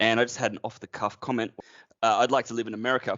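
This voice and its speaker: Speaking very fast with an Australian accent, a man talks at a medium pitch. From Australia, near Brisbane, Queensland. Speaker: IT manager. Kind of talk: podcast interview.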